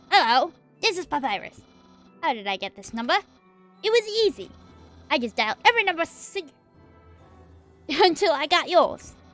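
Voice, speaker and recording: A put-on character voice moves at a fairly quick pace with long, frequent pauses over faint background music. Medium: game stream. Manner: loud, enthusiastic, naive.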